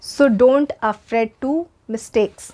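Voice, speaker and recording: With an Indian accent, a woman speaks using ordinary pitch variation. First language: Hindi. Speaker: English teacher. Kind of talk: tutorial.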